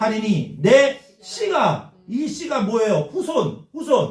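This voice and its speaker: The speaker's pitch swings very widely. The pace is very slow. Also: man. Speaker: pastor. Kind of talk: sermon. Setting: church with congregation responding. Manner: call-and-response preaching, asks congregation questions.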